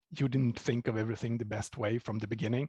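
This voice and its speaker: In a somewhat breathy voice with ordinary pitch variation, the speaker comes across dry and close with no echo, over a quiet background. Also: man. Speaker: software developer. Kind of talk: conference talk.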